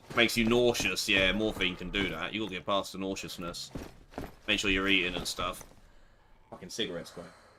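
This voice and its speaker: A man speaks loudly at a fairly low pitch in a monotone, flat delivery. He leaves long, frequent pauses, and there is noticeable background noise. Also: fairly quick pace. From Essex, England. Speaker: game streamer. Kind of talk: live gameplay stream chat.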